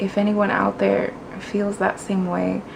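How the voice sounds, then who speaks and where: With a Spanish accent, a woman speaks at a fairly slow pace amid noticeable background noise. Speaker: booktuber. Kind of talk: casual vlog, answering tag questions. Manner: casual, conversational with fillers.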